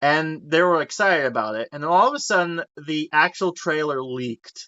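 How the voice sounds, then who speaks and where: An animated man's voice, fairly high in pitch, at a moderate pace. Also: ordinary pitch variation. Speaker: podcast host. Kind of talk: casual chat.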